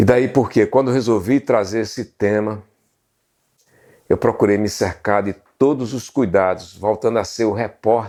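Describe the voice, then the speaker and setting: On a very clean recording with a silent background, a man with a fairly low pitch and a dark, mellow tone speaks fairly slowly with ordinary pitch variation. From Brazil, Pernambuco sertão (Serra Talhada). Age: 60s. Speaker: journalist and history channel host. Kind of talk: documentary narration to camera.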